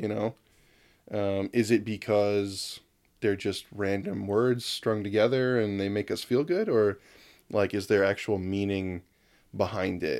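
Fairly low in pitch, this man's voice is an ordinary speaking voice with fairly even intonation. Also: fairly slow pace, very clean recording, silent background. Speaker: podcast host. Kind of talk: casual chat.

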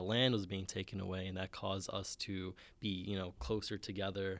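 Flat, monotone intonation from a man with an American accent and fairly low pitch, on a very clean recording with a silent background. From Bronx, New York. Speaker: student co-host. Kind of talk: casual chat.

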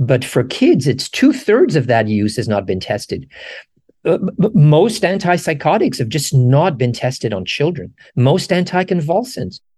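This man has a dark, mellow tone with vocal fry, a fairly high pitch that swings very widely, and a moderate pace. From Morocco. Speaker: professor. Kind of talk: interview. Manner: halting, many fillers.

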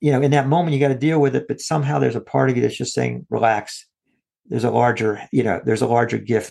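Vocal fry colors a man's medium-pitched voice. He speaks very fast with ordinary pitch variation. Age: 60s. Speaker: parent and podcast co-host. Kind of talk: casual chat. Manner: halting.

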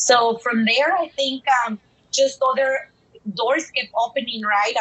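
Speaking at a fairly slow pace, a woman has a Mexican accent. Her voice sits at a fairly high pitch with ordinary pitch variation. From Dallas, Texas, partly raised in Mexico. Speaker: bilingual education consultant. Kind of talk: interview. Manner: animated.

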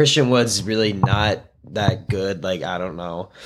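With music in the background, a man with an American accent talks at a moderate pace. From US Midwest, Chicago suburbs. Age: young. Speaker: sports fan guest, incoming pre-med student. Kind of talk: casual chat. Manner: animated.

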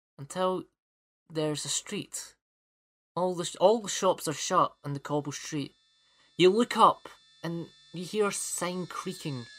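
On a very clean recording with a silent background, a man with a high pitch and a Scottish accent talks at a fairly slow pace, with long, frequent pauses, ordinary pitch variation and big swings in loudness. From Scotland. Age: 20s. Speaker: podcast host. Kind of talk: casual chat; scripted narration. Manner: animated.

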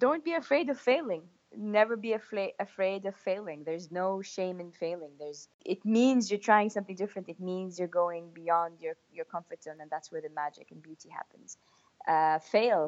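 A woman's medium-pitched voice in an Arabic accent, with ordinary pitch variation and big swings in loudness. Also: moderate pace. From Saudi Arabia. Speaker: mountaineer and public speaker. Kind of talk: interview. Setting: phone or video call.

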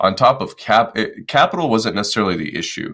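On a very clean recording with a silent background, a man with a Midwestern American accent talks at a moderate pace. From US Midwest, Detroit, Michigan. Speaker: real estate investor and Marine Corps veteran. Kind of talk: interview conversation.

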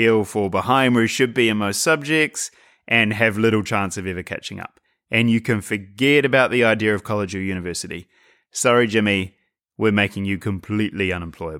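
Over a very clean recording with a silent background, a man talks at a fairly quick pace with a fairly low pitch and ordinary pitch variation. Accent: New Zealand. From New Zealand. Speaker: podcast host, writer. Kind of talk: monologue podcast talk. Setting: home, by a fire at night.

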